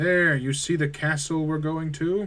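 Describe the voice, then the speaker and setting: Using a put-on character voice, a man speaks at a moderate pace in a fairly high, flat monotone. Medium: game stream.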